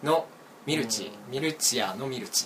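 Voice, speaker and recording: Amid noticeable background noise, a man speaks at a fairly slow pace, fairly high-pitched, with ordinary pitch variation. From Hyogo, western part near Himeji. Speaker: student, critic of online culture. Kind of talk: casual chat.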